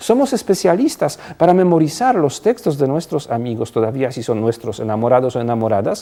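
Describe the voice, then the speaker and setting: With a non-native accent, a man speaks fairly quickly with hardly any pauses. His fairly high voice has a dark, mellow tone and very wide pitch swings. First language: not Spanish (speaking Spanish). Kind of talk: TV interview. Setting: TV studio.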